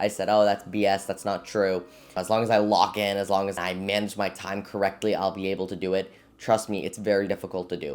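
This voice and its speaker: Here a man speaks fairly quickly in a fairly low, flat monotone. The recording is very clean and the background silent. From Florida. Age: 20s. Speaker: college student and small business owner. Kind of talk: casual vlog talk to camera.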